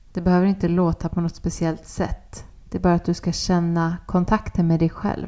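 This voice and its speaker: Her voice is fairly low and dark, mellow in tone. The woman delivers it monotone and flat at a fairly quick pace. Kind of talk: guided meditation. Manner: soft-spoken and gentle.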